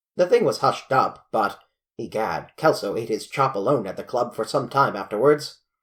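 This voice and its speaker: On a very clean recording with a silent background, a man does a put-on character voice that rumbles at a medium pitch, with lively intonation and a moderate pace. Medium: read story. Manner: blustering, grumbling.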